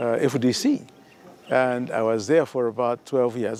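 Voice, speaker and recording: A man's voice over noticeable background noise. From Uganda, Kigezi region. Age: 70s. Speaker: retired army officer. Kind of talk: interview testimony. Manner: halting, many repetitions.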